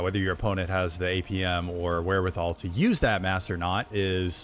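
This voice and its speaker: With music in the background, a man with an American accent talks in a very deep, low pitch. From Texas. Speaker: video game commentator. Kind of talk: live commentary; casual chat.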